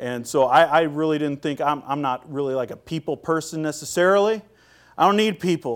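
An unremarkable speaking voice with an American accent. It moves at a fairly quick pace with ordinary pitch variation. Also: man, fairly high pitch for a man. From US Pacific Northwest, Seattle. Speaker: pastor. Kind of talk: sermon. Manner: frequent fillers and repetitions.

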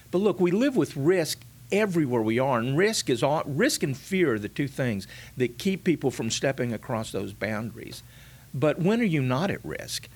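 The speaker has a Texan accent and very wide pitch swings at a moderate pace. The recording is very clean, with a silent background. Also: man, fairly high pitch for a man. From South Texas. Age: 60s. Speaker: pastor. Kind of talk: casual chat.

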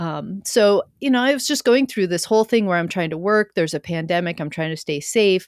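A woman with an ordinary speaking voice and fairly low pitch at a fairly quick pace, on a very clean recording with a silent background. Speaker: cancer survivor and podcaster. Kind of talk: casual interview, personal story.

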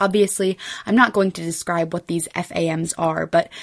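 A woman's fairly low-pitched voice at a fairly quick pace, an ordinary speaking voice, in a very clean recording with a silent background. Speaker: student podcaster. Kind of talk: scripted narration. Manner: formal.

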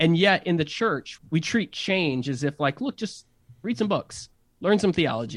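With lively intonation and a normal speaking voice, a man talks at a moderate pace in a dry, close sound with no echo. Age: 30s. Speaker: pastor and innovation strategist. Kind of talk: casual interview chat.

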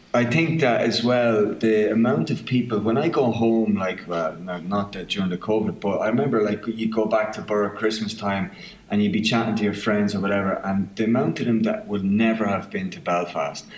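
With an Irish midlands accent and ordinary pitch variation, the speaker talks with hardly any pauses over noticeable background noise. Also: man, fairly low pitch for a man. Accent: Irish midlands, southern Irish. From County Offaly, Ireland. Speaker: film writer-director. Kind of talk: casual interview chat.

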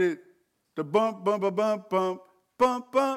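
An American-accented man at a fairly slow pace with ordinary pitch variation. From Maryland, US (Landover). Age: 50s. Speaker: pastor. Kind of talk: sermon. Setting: livestreamed church service. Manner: animated, repetitive stammering.

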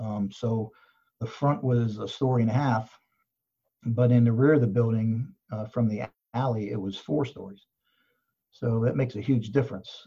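Somewhat breathy and dark, mellow in tone, the voice carries an American accent and fairly even intonation, with long, frequent pauses over a quiet background. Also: man, medium pitch for a man, moderate pace. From Pittsburgh area, US. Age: 60s. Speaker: fire chief. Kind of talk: interview.

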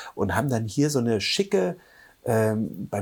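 A somewhat breathy man's voice at a medium pitch and fairly slow pace, in a very clean recording with a silent background. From eastern Germany, Halle an der Saale. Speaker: photographer and blogger. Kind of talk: casual interview chat.

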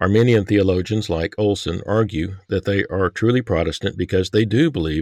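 a normal speaking voice, ordinary pitch variation, and a very clean recording over a silent background. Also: man. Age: 60s. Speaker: podcast host and author. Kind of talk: interview discussion on theology.

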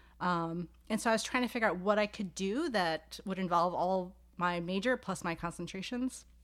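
A woman with an unremarkable speaking voice and an American accent talks at a moderate pace and medium pitch, with ordinary pitch variation, on a very clean recording with a silent background. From New York City, Staten Island. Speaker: sociology professor. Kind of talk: casual interview. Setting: home office.

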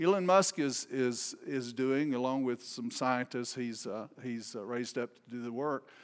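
A man at a medium pitch with a Southern US accent, moderate pace and ordinary pitch variation, in a very clean recording with a silent background. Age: 60s. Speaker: visiting preacher. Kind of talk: sermon. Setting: church with congregation. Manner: informal, humorous, hesitant with many fillers.

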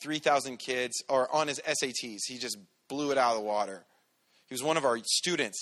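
A man speaks loudly at a fairly high pitch with a bright, sharp tone. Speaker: preacher. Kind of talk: sermon. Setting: church.

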